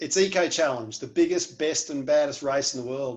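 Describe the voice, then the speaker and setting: With an Australian accent, a man keeps his delivery at a moderate pace. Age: 40s. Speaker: adventure race team captain. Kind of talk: team introduction video.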